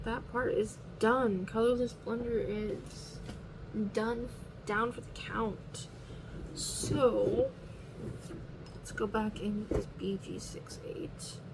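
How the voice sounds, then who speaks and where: A quiet woman speaks very slowly with long, frequent pauses and big swings in loudness, amid audible room echo and noticeable background noise. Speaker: coloring hobby video creator. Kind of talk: casual narration while coloring. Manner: quiet, low-key.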